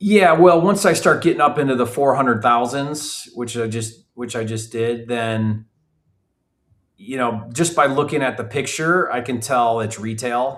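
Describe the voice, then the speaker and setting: A man with an unremarkable speaking voice, at a medium pitch with ordinary pitch variation and a fairly slow pace, on a very clean recording with a silent background. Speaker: real estate investor and educator. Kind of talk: live training. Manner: casual.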